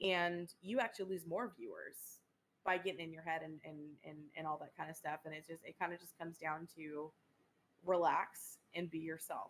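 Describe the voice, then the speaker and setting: Speaking at a moderate pace, a woman with a fairly low pitch keeps her intonation fairly even while her loudness swings widely. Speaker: streamer and podcast co-host. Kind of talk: casual chat.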